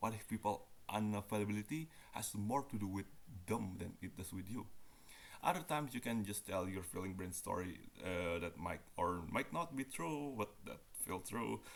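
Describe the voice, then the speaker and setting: Lively intonation marks this man's speech. He talks at a moderate pace with a fairly low pitch. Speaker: university student. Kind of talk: reading a nonfiction book aloud. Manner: halting, stumbles on some words.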